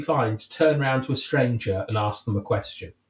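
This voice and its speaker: A man's somewhat breathy voice, fairly quick, with lively intonation. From England, countryside. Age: 30s. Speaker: podcast host. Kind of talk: casual chat. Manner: halting.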